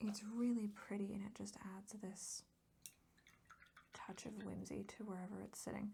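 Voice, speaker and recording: A soft-spoken woman with a calm tone, a dark, mellow quality and vocal fry talks at medium pitch and a moderate pace. Her intonation is monotone and flat, with long, frequent pauses. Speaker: ASMR artist and painter. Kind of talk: casual soft-spoken art tutorial talk to camera. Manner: soft-spoken, calm.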